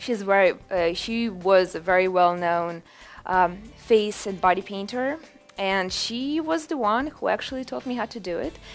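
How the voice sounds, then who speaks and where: Over music in the background, a woman speaks at a moderate pace with a medium pitch and lively intonation. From Ukraine. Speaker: face and body painter. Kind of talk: interview monologue. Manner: animated.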